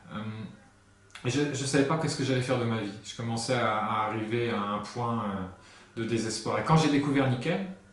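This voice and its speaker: With noticeable background noise and audible room echo, a man talks at a moderate pace at a medium pitch with ordinary pitch variation. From north-eastern France, Lorraine (Lunéville near Nancy). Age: 30s. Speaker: hypnotherapist and sales consultant. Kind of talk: interview. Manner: hesitant, many fillers.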